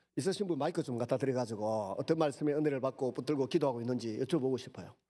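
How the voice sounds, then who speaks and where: Very fast and in a dark, mellow tone, a man speaks at a medium pitch in a very clean recording with a silent background. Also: ordinary pitch variation. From Gyeongsang region, South Korea. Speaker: pastor. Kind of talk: sermon. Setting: church.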